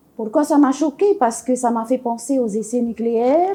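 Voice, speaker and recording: A woman with a high pitch has a dark, mellow tone. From French Polynesia. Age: 70s. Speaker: women's collective founder, activist. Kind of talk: interview testimony. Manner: hesitant, many fillers.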